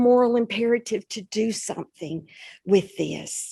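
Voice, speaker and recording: Recorded dry and close with no echo and a quiet background, a woman speaks with a Southern US accent and lively intonation. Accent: Southern twang. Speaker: school principal. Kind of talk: public event conversation.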